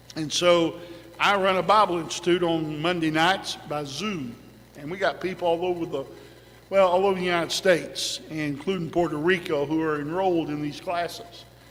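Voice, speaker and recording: A man with a high pitch and fairly even intonation talks at a moderate pace, with audible room echo and noticeable background noise. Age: 60s. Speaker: pastor. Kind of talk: sermon.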